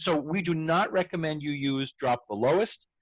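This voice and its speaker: A man with a normal speaking voice, a fairly high pitch and ordinary pitch variation. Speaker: educational technology trainer. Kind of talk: tutorial.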